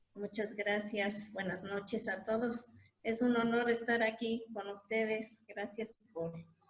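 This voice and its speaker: Very slowly, a woman speaks in a fairly high, somewhat breathy voice. Her intonation is monotone and flat. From Mixe highlands, Oaxaca, Mexico. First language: Mixe (Ayuk) (speaking Spanish). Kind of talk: panel discussion. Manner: halting.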